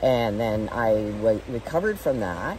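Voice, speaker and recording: Over noticeable background noise, a woman speaks with lively intonation and a very deep, low pitch. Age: 60s. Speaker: veterinarian and former masters speed skater. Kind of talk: interview answer.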